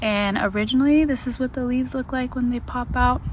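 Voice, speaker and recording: A soft-spoken woman talks at a moderate pace amid noticeable background noise. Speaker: gardening vlogger. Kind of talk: casual vlog walkthrough. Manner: hesitant.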